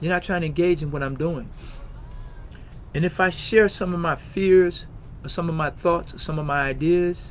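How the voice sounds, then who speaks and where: Loud and high-pitched, a man speaks at a moderate pace with fairly even intonation and long, frequent pauses. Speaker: podcast host. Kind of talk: personal testimony on podcast. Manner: conversational with many fillers.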